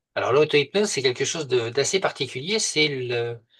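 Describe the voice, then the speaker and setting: At a moderate pace, a man with a medium-pitched voice speaks with lively intonation against a quiet background. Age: 60s. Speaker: hypnosis practitioner. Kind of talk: interview. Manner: hesitant, many fillers.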